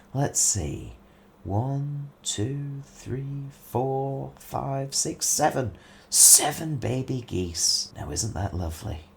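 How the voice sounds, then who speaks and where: A man does a put-on character voice at a medium pitch and a very slow pace. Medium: read story. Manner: sly, surly.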